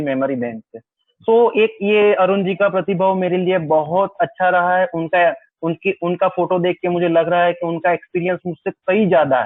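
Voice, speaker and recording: The speaker has a Gujarati accent and ordinary pitch variation. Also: man. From Gujarat, India. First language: Gujarati (speaking Hindi). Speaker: wedding photographer and workshop presenter. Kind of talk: webinar lecture. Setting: video call webinar. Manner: simple, sober delivery.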